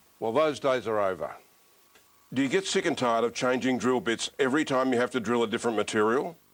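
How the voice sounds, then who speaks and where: A man with an ordinary speaking voice at medium pitch, fairly quick, with ordinary pitch variation and very even loudness. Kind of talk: TV infomercial presenter read.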